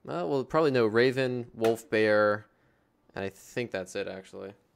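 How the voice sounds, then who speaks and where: Talking at a fairly slow pace, a man with an American accent keeps a medium pitch and ordinary pitch variation. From United States. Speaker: gaming stream host. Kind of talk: casual panel chat. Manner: halting, many fillers.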